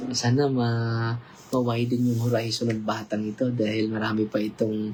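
Somewhat breathy and flat in intonation, a man speaks in a monotone at a fairly slow pace. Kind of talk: casual livestream interview.

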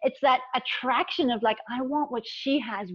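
Over a quiet background, a woman talks at a moderate pace in an animated tone. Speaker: relationship and embodiment coach. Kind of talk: casual interview. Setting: video call. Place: home room. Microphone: video call.

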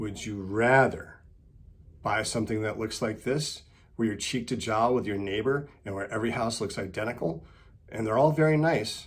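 Ordinary pitch variation from a man whose voice is somewhat breathy. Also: moderate pace. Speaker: sailing vlogger. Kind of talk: monologue to camera, opinion piece. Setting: video. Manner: casual, opinionated, chatty. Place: office. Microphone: webcam.

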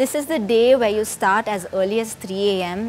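Light background noise sits behind a woman's speech. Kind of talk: informational explainer. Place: home room. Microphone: lapel.

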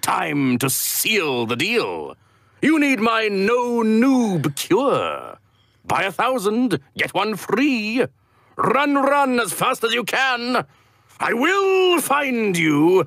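A put-on character voice from a man, extremely high-pitched and very slow. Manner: smooth salesman patter, menacing.

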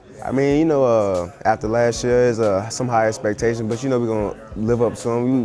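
Over music in the background, a man talks at a very fast pace with fairly even intonation. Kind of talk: interview answer. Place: hall. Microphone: handheld.

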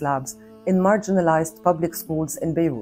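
Over faint background music, a woman speaks at a fairly quick pace with a fairly low pitch. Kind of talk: prepared address to camera. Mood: serious, concerned. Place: home room.

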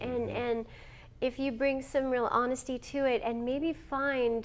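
This woman's voice is high and her loudness very even. She talks fairly slowly with a monotone, flat intonation. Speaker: voice actor. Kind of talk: interview answer. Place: meeting room.

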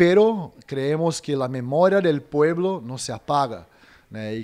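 With a Brazilian accent, a man speaks in a dark, mellow tone and lively intonation. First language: Portuguese (speaking Spanish). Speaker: media activist; interviewee. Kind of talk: interview statement. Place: hall. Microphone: handheld.

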